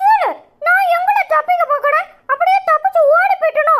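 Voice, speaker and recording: A woman does a squeaky, cartoonish character voice at an extremely high pitch. Her pitch swings very widely at a moderate pace. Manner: cheeky.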